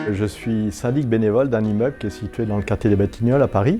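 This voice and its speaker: Music plays in the background as a man with a fairly low pitch speaks at a moderate pace, his pitch varying in an ordinary way. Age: 60s. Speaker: volunteer building manager. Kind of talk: customer testimonial. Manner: hesitant, many fillers.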